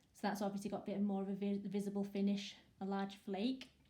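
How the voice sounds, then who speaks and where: A woman speaks at a fairly quick pace in a somewhat breathy voice of medium pitch with a dark, mellow tone. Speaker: small business owner selling resin art supplies. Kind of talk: product demo talk to camera.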